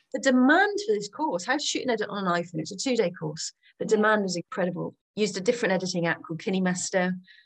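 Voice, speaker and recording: A woman at a very fast pace, with lively intonation. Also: medium pitch for a woman, hardly any pauses. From Gloucestershire, England. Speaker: former TV reporter and media trainer. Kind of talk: interview.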